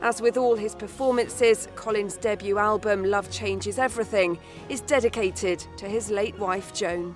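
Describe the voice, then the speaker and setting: Music plays in the background. A woman speaks at a moderate pace with hardly any pauses. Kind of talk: TV news narration.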